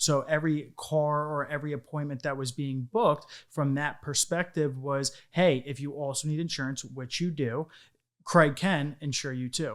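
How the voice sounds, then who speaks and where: In a very clean recording with a silent background, a man with a New York accent talks at a fairly high pitch with fairly even intonation. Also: moderate pace. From Long Island, New York. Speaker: insurance business owner. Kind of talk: interview.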